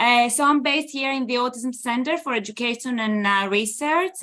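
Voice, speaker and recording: A woman with a Greek accent has a high, bright, sharp voice and ordinary pitch variation. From Greece. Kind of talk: presentation talk. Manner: hesitant with many fillers.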